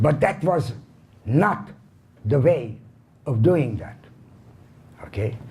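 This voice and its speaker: Amid audible room echo, a man with a Hungarian accent speaks fairly slowly, his dark, mellow tone marked by vocal fry. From Hungary, Budapest. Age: 80s+. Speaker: Holocaust survivor speaker. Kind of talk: lecture.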